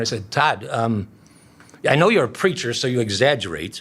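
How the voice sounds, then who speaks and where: A man uses a normal speaking voice. He goes at a moderate speed with ordinary pitch variation. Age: 60s. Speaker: pastor. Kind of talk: interview conversation.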